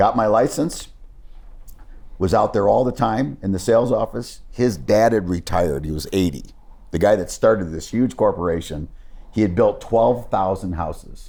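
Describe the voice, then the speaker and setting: This man's fairly low voice has a dark, mellow tone, vocal fry and lively intonation at a moderate pace. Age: 60s. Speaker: sports business executive. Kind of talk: interview storytelling. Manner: conversational, with false starts.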